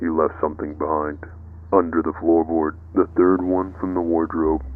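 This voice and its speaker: In a quiet, raspy put-on character voice, a man speaks at a moderate pace with a very deep, low pitch and monotone, flat intonation. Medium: read story. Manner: terse.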